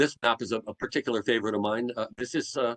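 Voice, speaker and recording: A man's medium-pitched voice in a dry, close sound with no echo. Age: 60s. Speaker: historian and museum curator. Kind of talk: lecture. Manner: halting, many fillers and repeats.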